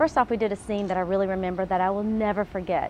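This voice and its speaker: A woman talks in a Southern US accent at medium pitch. Her pace is very fast. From US South, Atlanta. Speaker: actress. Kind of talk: interview testimony. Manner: hesitant.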